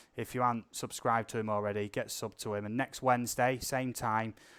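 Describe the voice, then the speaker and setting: Against a silent background in a very clean recording, a man with a British accent speaks at medium pitch with monotone, flat intonation. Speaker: drone channel live streamer. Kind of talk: casual live stream chat. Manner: talkative.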